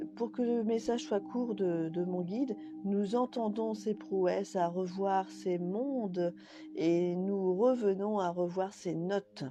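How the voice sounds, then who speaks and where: The intonation is lively. The pace is very slow. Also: woman, medium pitch for a woman. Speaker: spiritual medium. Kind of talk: live stream channeling messages. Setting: live video stream. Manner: halting. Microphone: connection dropping out.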